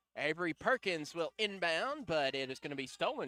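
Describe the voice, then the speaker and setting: This man talks at a moderate pace in a raised, projected voice with a bright, sharp tone and very wide pitch swings. The sound is dry and close, with no echo. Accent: American. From US South (Tennessee, Alabama, Mississippi). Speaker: radio sports play-by-play announcer. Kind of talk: live commentary. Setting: radio broadcast.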